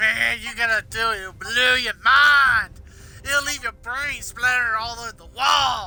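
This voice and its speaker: A man projects a raised voice at an extremely high pitch, moving at a fairly slow pace. Noticeable noise runs in the background. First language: not English. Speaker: gaming streamer. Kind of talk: live gameplay commentary. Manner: mumbles some words; halting, repeats words.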